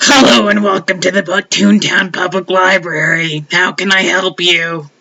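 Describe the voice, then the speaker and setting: Using a put-on character voice, the speaker talks at a middle pitch and a moderate pace. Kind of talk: polite, welcoming.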